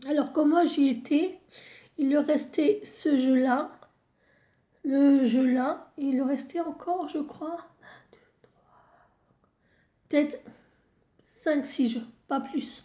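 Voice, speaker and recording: A woman speaks at a high pitch in a dark, mellow tone with ordinary pitch variation. Her pace is very slow, with long, frequent pauses. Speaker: tarot card reader. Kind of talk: tarot reading video. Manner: halting, with repetitions and fillers.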